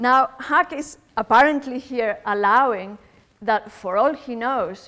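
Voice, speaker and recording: In a Spanish accent, a woman speaks high-pitched with lively intonation. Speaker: philosophy lecturer. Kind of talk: lecture.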